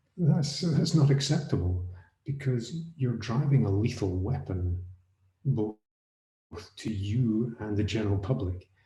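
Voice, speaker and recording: Audible room echo surrounds a man with an American accent and a dark, mellow tone. His medium-pitched voice has lively intonation. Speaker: autonomous vehicle safety consultant. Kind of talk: panel discussion. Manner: halting, with restarts.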